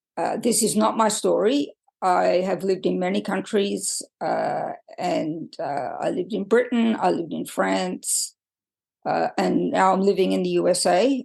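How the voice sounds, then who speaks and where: A woman talks with an Australian accent. She keeps a moderate pace. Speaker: podcaster and author. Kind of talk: personal podcast monologue. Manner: hesitant, with frequent fillers.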